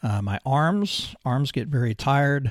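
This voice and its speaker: Somewhat breathy, a man's voice comes through in a very clean recording with a silent background and a dry, close sound with no echo. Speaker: business podcast host. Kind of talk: podcast monologue with health update. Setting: recording from home. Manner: halting, many fillers.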